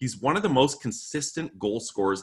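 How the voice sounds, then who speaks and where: A man with a plain, everyday voice at a medium pitch and lively intonation. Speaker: sports podcast host. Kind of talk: casual chat.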